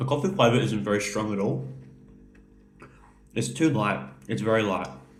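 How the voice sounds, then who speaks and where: Over music in the background, a man talks at a moderate pace with a fairly low pitch and very wide pitch swings. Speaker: food reviewer. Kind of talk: casual talk to camera.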